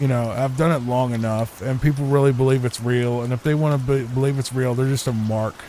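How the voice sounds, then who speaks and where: Noticeable background noise sits behind a man speaking at a medium pitch. His delivery is monotone and flat, fairly quick, with hardly any pauses. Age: 30s. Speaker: gaming YouTuber. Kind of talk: casual chat. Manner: soft-spoken; calm.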